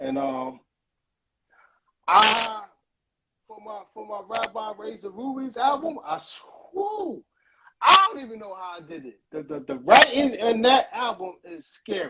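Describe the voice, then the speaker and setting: Raising and projecting his voice, a man with an American accent and a high pitch speaks in a bright, sharp, animated tone at a fairly slow pace, with very wide pitch swings, big swings in loudness and long, frequent pauses. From Brooklyn, New York City. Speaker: rapper. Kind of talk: interview. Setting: live stream interview. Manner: halting, repetitive.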